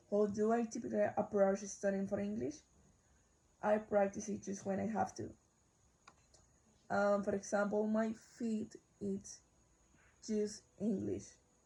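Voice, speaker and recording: Somewhat breathy and dark, mellow in tone, a woman with a Spanish accent speaks at a fairly slow pace with fairly even intonation and long, frequent pauses. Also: medium pitch for a woman. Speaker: university student. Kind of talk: class assignment video, answering questions. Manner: halting, self-correcting.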